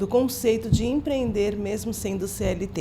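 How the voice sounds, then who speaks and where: Her pitch moves in a normal, unremarkable way. The room around the woman's voice echoes audibly. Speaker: podcast host. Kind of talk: casual interview chat.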